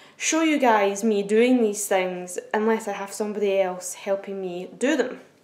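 The room echo is audible around this woman's voice. She talks fairly slowly, and her pitch varies in an ordinary way. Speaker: blind vlogger. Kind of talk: casual vlog chat. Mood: cheerful, chatty. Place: kitchen. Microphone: phone near.

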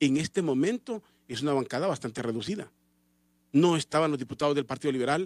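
A man speaks with a fairly high pitch. The sound is dry, with no echo. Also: quiet background. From Honduras. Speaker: radio host. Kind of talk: radio political commentary. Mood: critical political commentary. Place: studio. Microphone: studio mic.

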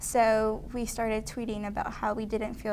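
Light background noise sits under a female speaker who talks at a moderate pace. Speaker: student organization leader; guest. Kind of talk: interview. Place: studio. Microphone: lapel.

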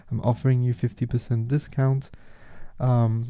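Against a quiet background, a man speaks at a fairly slow pace. His tone is dark and mellow. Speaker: meditation guide. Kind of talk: guided meditation. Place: home room.

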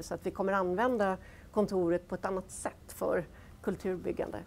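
A woman with vocal fry talks at a fairly quick pace. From Gothenburg, western Sweden; Sweden. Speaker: business executive; guest. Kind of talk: panel discussion. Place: studio.

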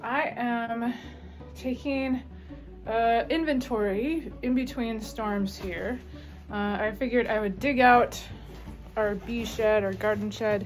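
A woman speaks with fairly even intonation while faint music plays in the background. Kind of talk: casual vlog chat. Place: garage. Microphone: phone near.

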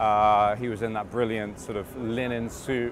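Light background noise accompanies a man speaking at a moderate pace, in a dry sound with no echo. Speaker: actor being interviewed. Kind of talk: interview answer. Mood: relaxed, upbeat. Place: street.

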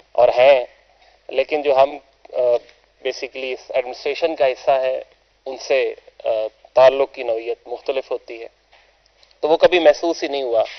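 With long, frequent pauses, a man talks at a fairly slow pace in fairly even intonation. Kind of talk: formal speech. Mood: warm, praising a departing boss.

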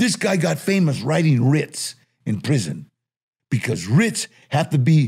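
A man's somewhat breathy voice with a dark, mellow tone and lively intonation. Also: quiet background. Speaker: interview guest. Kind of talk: interview answer, storytelling. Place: studio. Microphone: studio mic.

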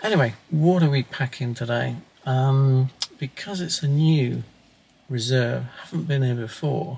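A somewhat breathy man at a fairly slow pace, with ordinary pitch variation and light background noise. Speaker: wildlife photographer vlogger. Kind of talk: casual vlog chat. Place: car. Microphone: camera far.

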